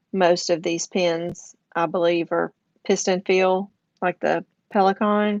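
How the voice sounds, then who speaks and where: In a slight Southern US accent, a woman speaks very slowly at medium pitch in a monotone, flat intonation, with a dry, close sound and no echo. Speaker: craft and journaling YouTuber. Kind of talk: casual livestream chat. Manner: casual, with fillers.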